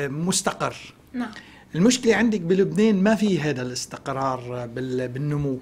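A man speaks with a Lebanese accent. His intonation is lively. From Lebanon. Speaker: economist, professor; guest. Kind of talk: TV news interview. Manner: hesitant fillers. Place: studio. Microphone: lapel.

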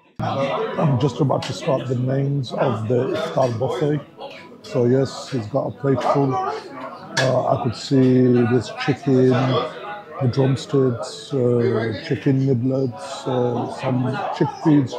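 A man at a very slow pace with ordinary pitch variation, under loud background noise. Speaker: food reviewer. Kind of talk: casual food review vlog. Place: cafe. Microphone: lapel.

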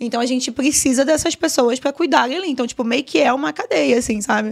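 Against a quiet background, a woman with a high pitch races along at a very fast pace with lively intonation. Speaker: GTA RP streamer and server administrator; GTA RP streamer. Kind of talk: casual podcast interview. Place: studio. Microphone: studio mic.

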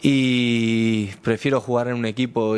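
The speaker is a man. His intonation is monotone and flat. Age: 30s. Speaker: football player. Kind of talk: press conference. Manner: halting, many repeated words. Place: meeting room. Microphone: podium.

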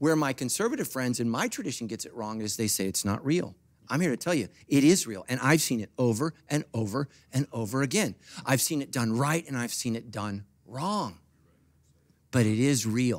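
At a moderate pace, a man speaks in an animated tone with lively intonation. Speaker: pastor. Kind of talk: sermon. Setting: church. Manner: animated, emphatic preacher, rhetorical questions, punchy; humorous, joking, audience-engaging. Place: church. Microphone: handheld.

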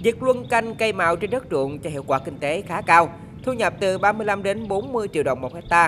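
A woman speaks at a moderate pace in a fairly low pitch. Background noise is noticeable. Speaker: voiceover reporter. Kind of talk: news reading.

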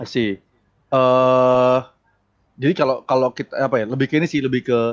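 A man's voice is heard over a quiet background. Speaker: game developer. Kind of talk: tech talk discussion. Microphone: video call.

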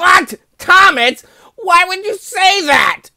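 In a put-on character voice with an extremely high pitch, the speaker goes at a very slow pace. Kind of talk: earnest straight man in a comedy dub. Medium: fan dub. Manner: warm, reassuring, then defensive.

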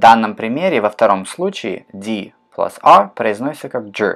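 A man speaks with very wide pitch swings. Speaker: English teacher. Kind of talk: tutorial. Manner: slow, careful pronunciation drills.

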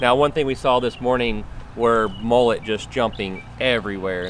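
Speaking at a moderate pace with ordinary pitch variation, a man comes through in a dry sound with no echo over light background noise. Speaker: fishing video host. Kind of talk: tutorial. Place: waterside.

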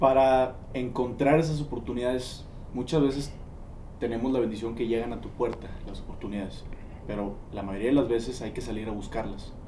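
A man with a Mexican accent speaks at a moderate pace with fairly even intonation, with audible room echo and light background noise. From Mexico. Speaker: podcast interviewer. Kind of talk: casual interview. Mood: reflective, thoughtful. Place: studio. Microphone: lapel.

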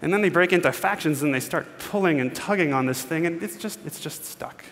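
A man's voice with ordinary pitch variation. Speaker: keynote speaker. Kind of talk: conference keynote talk. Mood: playful storytelling. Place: stage.

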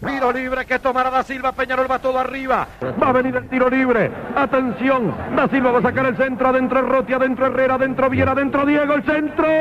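Noticeable background noise surrounds a man talking at a very fast pace in an extremely high pitch. His intonation is monotone and flat, and his loudness stays very even. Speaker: radio football play-by-play commentator. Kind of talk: live radio football commentary.

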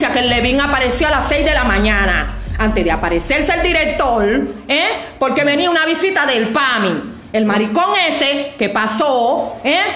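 A woman talks at a high pitch with very wide pitch swings and a moderate pace. Audible room echo and light background noise surround her voice. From Cuba. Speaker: Cuban woman denouncing her grandmother's death. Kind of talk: social media video rant. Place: home room. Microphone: phone near.

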